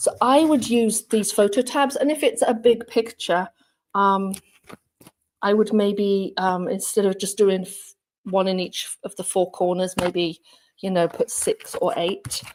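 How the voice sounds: At a fairly slow pace, a woman speaks with medium pitch, a slightly mellow tone and fairly even intonation.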